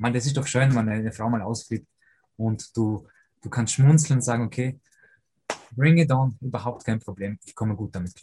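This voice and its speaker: In an Austrian accent, a man talks at a moderate pace with a dark, mellow, somewhat breathy tone. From Austria, Vorarlberg (Lake Constance), moved from Poland as a boy. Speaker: personal coach for fathers, former pro footballer. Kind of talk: interview.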